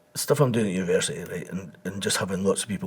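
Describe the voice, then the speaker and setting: A man speaks with an Edinburgh accent. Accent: Scottish (Edinburgh). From Scotland, Edinburgh. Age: 60s. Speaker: embalmer and reconstruction trainer. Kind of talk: interview. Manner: conversational, repetitive.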